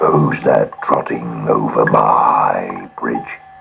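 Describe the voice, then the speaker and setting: A man uses a raspy, put-on character voice at a very slow pace. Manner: growling.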